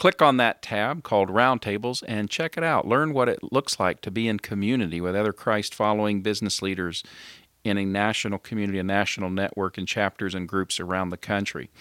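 On a very clean recording with a silent background and a dry, close sound with no echo, a man with an ordinary speaking voice talks at a fairly quick pace, fairly low in pitch with ordinary pitch variation. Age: 50s. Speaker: podcast host. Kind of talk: interview; show intro and outro.

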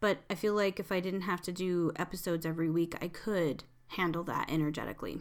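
In a very clean recording with a silent background, an unremarkable speaking voice moves at a moderate pace. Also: woman. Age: 40s. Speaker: podcast host and tarot reader. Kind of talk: casual solo monologue. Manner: chatty, frequent laughs.

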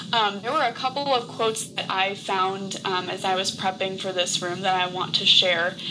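Speaking at a moderate pace with hardly any pauses, a woman uses a medium pitch and ordinary pitch variation over noticeable background noise. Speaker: co-host. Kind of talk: moderated online group discussion.

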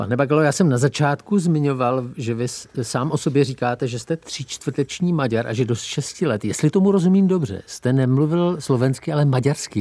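Speaking at a fairly quick pace, a man has a normal speaking voice, a fairly high pitch and ordinary pitch variation. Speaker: radio host. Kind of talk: interview.

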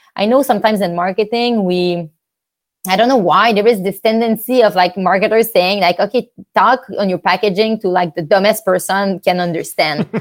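Talking at a fairly quick pace, a woman uses a medium pitch and a French accent with ordinary pitch variation. The recording is very clean, with a silent background. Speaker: startup founder. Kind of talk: casual interview.

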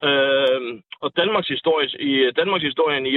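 Ordinary pitch variation marks a man's fairly slow speech. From North Jutland, Denmark. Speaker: bricklayer and union member. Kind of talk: political debate. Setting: phone call. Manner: halting, repeats words.

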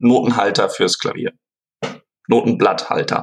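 A man speaks at a medium pitch. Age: 20s. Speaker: student and product inventor. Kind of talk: interview. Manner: halting, many fillers.

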